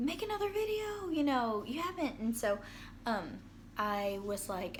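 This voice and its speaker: With lively intonation and a moderate pace, a woman speaks in a room with audible echo. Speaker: vlogger sharing mental health experience. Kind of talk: casual video diary. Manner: hesitant, many fillers.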